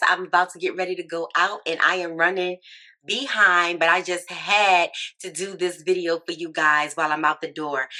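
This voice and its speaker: Putting on a character voice, a woman sounds raspy and fairly low-pitched. Her intonation is fairly even, and she keeps a moderate pace. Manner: talking fast, hurried.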